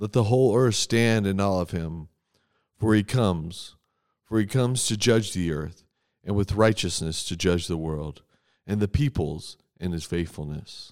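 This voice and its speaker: Heard on a very clean recording with a silent background, an ordinary speaking voice moves at a moderate pace with ordinary pitch variation. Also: man, fairly low pitch for a man. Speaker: church worship leader. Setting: church morning prayer recording. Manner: earnest, solemn and measured, with pleading intensity; formal, reverent, steady cadence.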